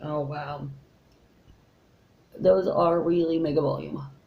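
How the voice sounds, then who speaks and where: A woman speaks at a very slow pace, with long, frequent pauses. Audible room echo and noticeable background noise surround her voice. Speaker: beauty vlogger. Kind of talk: makeup tutorial. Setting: at home. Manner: casual, chatty.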